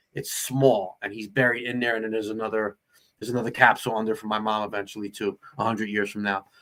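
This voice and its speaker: On a very clean recording with a silent background, a man with a fairly low pitch and a bright, sharp tone speaks at a very fast pace with a New Jersey accent. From New Jersey, Perth Amboy. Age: 40s. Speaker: actor. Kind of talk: casual chat. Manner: animated.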